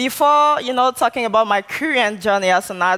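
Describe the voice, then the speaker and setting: With a French accent, a woman speaks at a fairly high pitch. Her intonation is lively. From Ivory Coast. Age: 20s. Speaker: artist and activist. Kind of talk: keynote speech. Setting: conference stage with audience.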